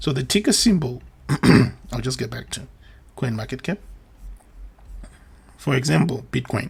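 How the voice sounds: A put-on character voice, raspy and hoarse, at a moderate pace with very wide pitch swings and long, frequent pauses. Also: man, medium pitch for a man.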